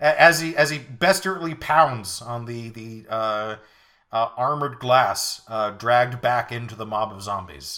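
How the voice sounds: Natural reading voice.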